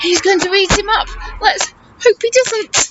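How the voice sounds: A woman speaks at an extremely high pitch with ordinary pitch variation. Her tone is fairly bright and her pace fairly slow.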